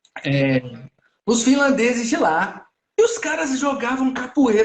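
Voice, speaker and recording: The speaker is a man who takes things fairly slowly. His voice rises and falls over a very wide range. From Brazil. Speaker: podcast host. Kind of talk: casual interview.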